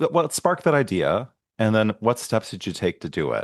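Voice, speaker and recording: A man speaks with very wide swings in pitch. The sound is dry and close with no echo, over a quiet background. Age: 40s. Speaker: podcast host. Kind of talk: interview conversation.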